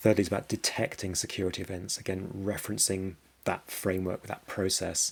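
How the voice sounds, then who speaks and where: A man with a British accent speaks at a very deep, low pitch in a monotone, flat intonation. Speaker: cyber security business development head. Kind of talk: conference presentation. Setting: conference presentation. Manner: halting, many repetitions and fillers.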